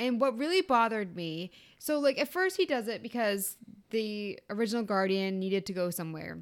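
A woman speaks with a normal speaking voice, lively intonation and a fairly quick pace. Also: fairly high pitch for a woman. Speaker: podcast co-host. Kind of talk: casual chat.

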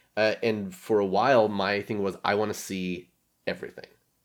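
A man talks at a fairly quick pace in a fairly low pitch. The recording is very clean with a silent background. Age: 40s. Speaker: podcast guest, host's best friend. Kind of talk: casual chat.

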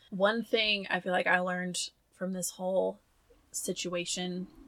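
Speaking in a Southern US accent, a woman with a medium pitch has a bright, sharp tone. Her intonation is flat and monotone, with long, frequent pauses. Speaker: podcast co-host. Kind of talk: casual chat.

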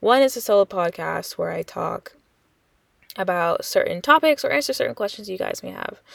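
A woman talks at a fairly quick pace, and the sound is dry and close with no echo. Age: 20s. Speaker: podcast host. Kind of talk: solo podcast intro, casual monologue. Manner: casual, with frequent fillers.

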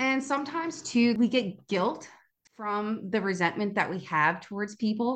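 A woman with an unremarkable speaking voice speaks at a fairly high pitch and a fairly slow pace, with lively intonation. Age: 20s. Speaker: podcast host. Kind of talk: solo podcast monologue. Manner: casual.

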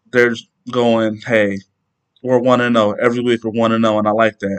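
Medium in pitch, a man speaks at a fairly quick pace. The sound is dry and close, with no echo. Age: 30s. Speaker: podcaster. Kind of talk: solo podcast monologue, casual. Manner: monotone.

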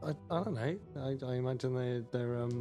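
Gruff put-on character voice at a fairly slow pace over loud background music. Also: man, medium pitch for a man.

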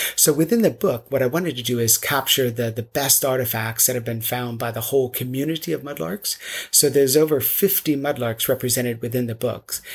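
With an American accent, a somewhat breathy man talks at a fairly quick pace with ordinary pitch variation on a very clean recording with a silent background. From US South, North Carolina. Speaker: architect and mudlarking author. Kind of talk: interview.

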